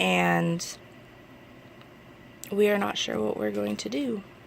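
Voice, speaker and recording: Her pace is fairly slow. The woman has an American accent. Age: 20s. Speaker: vlogger asking for donations. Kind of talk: personal appeal to camera. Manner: halting.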